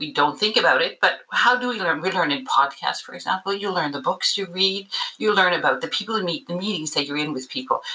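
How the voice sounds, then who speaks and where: Amid noticeable background noise, a woman with a Canadian accent talks at a very fast pace with hardly any pauses and very wide pitch swings. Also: medium pitch for a woman. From Canada. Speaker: learning and development director. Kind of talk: podcast interview.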